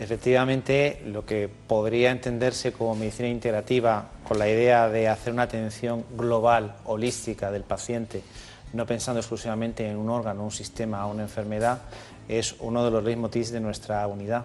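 Noticeable background noise runs under a man speaking at a moderate pace. His medium-pitched voice is monotone and flat. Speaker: allergist doctor. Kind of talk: medical explanation in interview.

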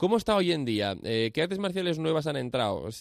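A man speaks very quickly, his intonation lively. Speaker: radio host. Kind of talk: radio interview.

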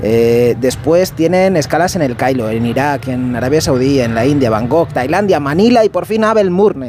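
Amid noticeable background noise, a man with a fairly high pitch speaks at a fairly quick pace with lively intonation. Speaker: radio reporter. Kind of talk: scripted comedic report. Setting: airport runway.

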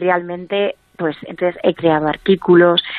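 A woman's fairly low voice moves at a moderate pace, its intonation monotone and flat. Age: 40s. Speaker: author and emotional wellbeing coach. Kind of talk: interview.

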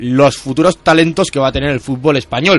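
Speaking in a normal speaking voice, a man keeps a medium pitch, a fairly quick pace and ordinary pitch variation. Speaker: radio sports contributor. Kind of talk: radio segment.

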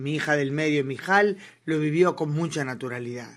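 A woman speaks in a low pitch. Her pitch varies in an ordinary way. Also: moderate pace.

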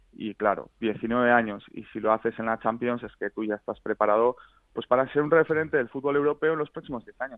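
This man talks very fast, his pitch shifting in a typical way. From Basque Country, Spain (San Sebastián). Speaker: journalist. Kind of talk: radio interview.

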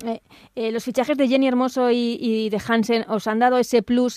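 With a very clean recording and silent background, a woman with a fairly high pitch speaks at a moderate pace in a monotone, flat voice. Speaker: radio sports podcast host. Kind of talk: sports radio interview and analysis.

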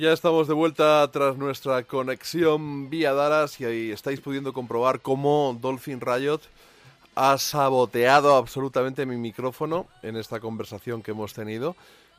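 Music plays in the background as a man speaks at a moderate pace. His pitch is medium and his intonation fairly even. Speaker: radio host. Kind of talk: radio show hosting with music talk. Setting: studio.

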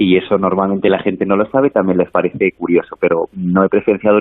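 Fairly low in pitch, a man's voice moves at a fairly quick pace. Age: young. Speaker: priest. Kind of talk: interview.

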